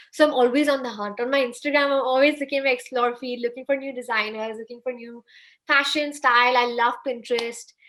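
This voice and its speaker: The speech comes very fast with a bright, sharp tone, monotone, flat intonation and big swings in loudness. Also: woman, high pitch for a woman. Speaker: fashion blogger. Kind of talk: interview. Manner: soft-spoken.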